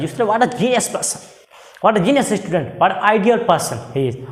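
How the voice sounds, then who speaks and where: A man talks at a fairly quick pace. Audible room echo and music sit in the background. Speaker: English teacher. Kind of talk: lecture. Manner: hesitant, many fillers.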